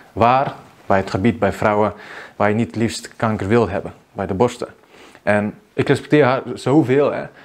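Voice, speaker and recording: A man at a moderate pace, with a fairly low pitch and ordinary pitch variation. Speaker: video marketing coach. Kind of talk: vlog monologue. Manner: unscripted, spontaneous. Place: home room. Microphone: lapel.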